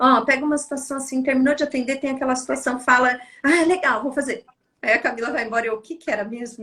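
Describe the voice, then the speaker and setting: Very fast pace with fairly even intonation. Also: woman. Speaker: psychologist. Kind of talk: casual chat.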